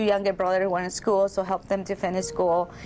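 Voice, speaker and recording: A woman with a Salvadoran accent and a medium pitch. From El Salvador. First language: Spanish. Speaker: massage therapist and spa owner. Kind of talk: interview testimony. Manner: halting.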